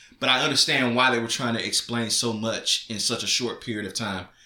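Noticeable background noise sits behind this man's voice. He speaks at a fairly quick pace with a medium pitch. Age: 30s. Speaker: podcast co-host, father. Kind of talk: casual chat.

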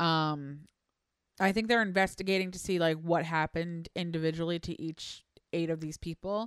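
On a very clean recording with a silent background and a dry, close sound with no echo, a woman with a fairly low pitch speaks at a moderate pace with fairly even intonation in an unremarkable speaking voice. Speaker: producer and co-host. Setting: live stream.

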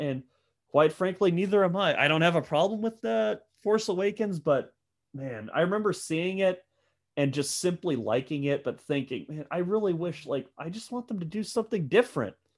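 A man with an American accent, high pitch and lively intonation, at a moderate pace in a very clean recording with a silent background. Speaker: film podcast guest. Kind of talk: casual chat.

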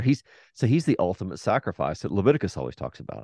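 Recorded dry and close with no echo over a quiet background, a man with vocal fry talks at a fairly quick pace with very wide pitch swings. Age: 50s. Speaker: theologian and Old Testament scholar. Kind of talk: casual interview.

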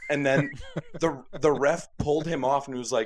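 A man with a Canadian accent and an unremarkable speaking voice, medium in pitch, at a moderate pace. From Calgary, Alberta, Canada. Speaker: friend of the hosts. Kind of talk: casual chat.

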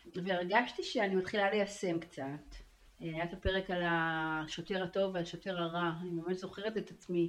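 This is an unremarkable speaking voice at a moderate pace. The intonation stays fairly even. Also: woman, medium pitch for a woman. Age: 50s. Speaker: marketing consultant, coaching client. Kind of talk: personal testimony interview. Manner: frequent laughter.

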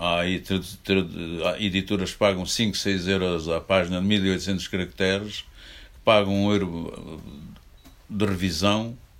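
A man with a very deep, low pitch speaks at a fairly slow pace in a monotone, flat intonation, leaving long, frequent pauses. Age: 80s+. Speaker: book publisher. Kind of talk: public talk with Q&A.

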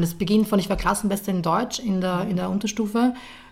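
A somewhat breathy woman talks very fast at a medium pitch, keeping her intonation fairly even. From Austria, Lower Austria. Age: 20s. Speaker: journalist and columnist. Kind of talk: interview.

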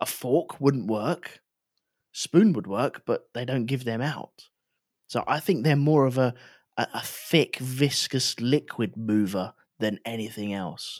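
On a very clean recording with a silent background and a dry, close sound with no echo, a man with an English accent speaks at a very slow pace, medium pitch, and ordinary pitch variation. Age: 40s. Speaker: podcast co-host. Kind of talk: casual chat.

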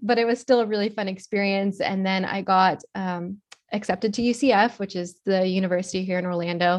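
In an American accent, a plain, everyday voice speaks at a fairly quick pace with fairly even intonation. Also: woman, medium pitch for a woman. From South Florida (Miami, West Palm Beach). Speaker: social media influencer and theme park worker. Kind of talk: casual interview chat. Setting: virtual recording.

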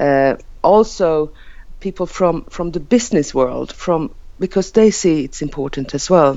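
Lively intonation at a fairly slow pace, in a Finland-Swedish accent. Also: woman. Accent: Finnish-Swedish accented English. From Åland Islands, Finland. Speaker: member of parliament. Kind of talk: casual interview. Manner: halting.

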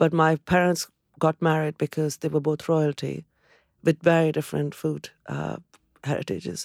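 With an Indian accent, a woman speaks at a very deep, low pitch in a dry, close sound with no echo, recorded very cleanly over a silent background. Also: moderate pace. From India, Calcutta. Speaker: restaurant founder and chef. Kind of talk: interview, life story. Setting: studio. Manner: animated.

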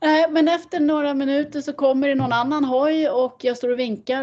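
A woman's voice with ordinary pitch variation. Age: 50s. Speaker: motorsport driver. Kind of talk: casual interview. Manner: animated.

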